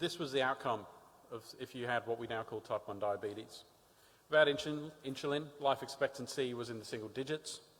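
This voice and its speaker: Talking at a fairly quick pace, a man with an Australian accent uses a medium pitch and ordinary pitch variation. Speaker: diabetes advocate. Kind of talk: conference talk.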